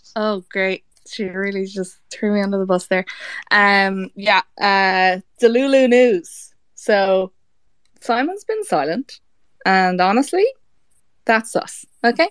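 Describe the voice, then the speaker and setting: With an Irish accent, a woman of medium pitch speaks at a very slow pace, her pitch varying in an ordinary way. Long, frequent pauses stand out, and the sound is dry and close, with no echo. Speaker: fan campaign organizer. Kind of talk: casual chat. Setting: audio chat room.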